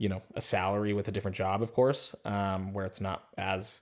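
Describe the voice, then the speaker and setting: He speaks with a General American accent at a moderate pace and fairly low pitch. It is a plain, everyday voice. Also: very clean recording, silent background. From Arizona. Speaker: sales professional. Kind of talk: interview answer.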